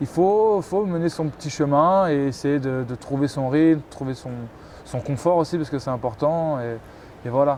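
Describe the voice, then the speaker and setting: His pitch is fairly high and varies in an ordinary way. The man speaks at a fairly slow pace. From Paris region, France. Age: 20s. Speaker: professional handball player. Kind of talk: interview. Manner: hesitant, many fillers and repetitions.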